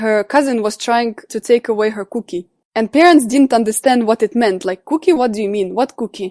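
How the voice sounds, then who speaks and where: In a Russian accent, the speaker uses ordinary pitch variation, with a dry, close sound, no echo and a quiet background. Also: woman. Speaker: coach and psychology student. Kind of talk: interview.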